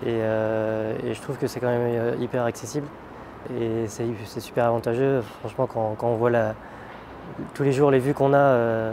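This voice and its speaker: A man's medium-pitched, flat, monotone voice, with long, frequent pauses and noticeable background noise. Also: moderate pace. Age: 20s. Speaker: roofer. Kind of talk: interview. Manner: halting, many hesitations.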